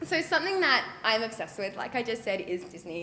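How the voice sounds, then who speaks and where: A woman talks in an Australian accent at a fairly high pitch. Her voice carries audible room echo and noticeable background noise. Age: 20s. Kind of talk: public talk. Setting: stage with audience.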